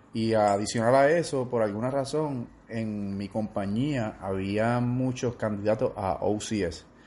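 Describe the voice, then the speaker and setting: A man's very slow, dark and mellow speech, with hardly any pauses and ordinary pitch variation. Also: medium pitch for a man. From Puerto Rico, Orocovis (central mountains). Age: 20s. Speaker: soldier. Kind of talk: interview.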